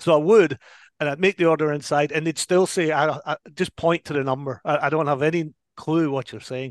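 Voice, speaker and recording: An American-accented man with a fairly high pitch speaks at a fairly quick pace with fairly even intonation, the sound dry and close with no echo. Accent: Scottish accent diluted by long US residence. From Scotland. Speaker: whisky brand ambassador turned TV producer. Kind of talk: casual chat.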